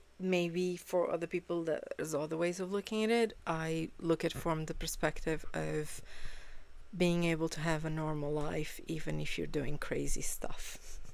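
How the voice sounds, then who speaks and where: A non-native accent at a moderate pace. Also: woman. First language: not English. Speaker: reaction video creator. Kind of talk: casual reaction commentary. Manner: halting, frequent fillers.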